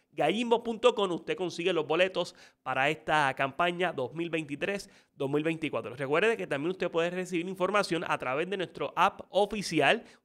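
Over a quiet background, a man with a high pitch speaks at a fairly slow pace with ordinary pitch variation. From Puerto Rico. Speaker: sports show host. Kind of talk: interview; scripted promo reading.

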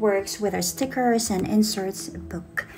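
A woman at a fairly slow pace with lively intonation over noticeable background noise. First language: not English. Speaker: digital planner shop owner. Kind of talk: software tutorial voice-over.

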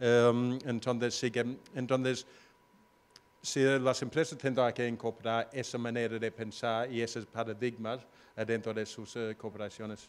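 A man with an English accent speaks at a fairly slow pace. His intonation is monotone and flat. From Australia. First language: English (speaking Spanish). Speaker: location-independent entrepreneur; panelist. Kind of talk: panel discussion. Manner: hesitant, many fillers. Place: stage. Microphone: handheld.

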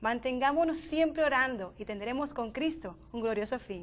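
High pitch for a woman, her intonation lively. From Dominican Republic, Miches. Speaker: youth panelist. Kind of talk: panel discussion. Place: studio. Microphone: lapel.

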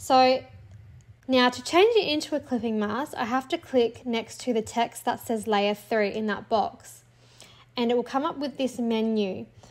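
Speaking at a fairly slow pace with lively intonation, a woman with an Australian accent talks in a high pitch. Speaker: teacher and clipart creator. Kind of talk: tutorial. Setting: home recording, screen tutorial.

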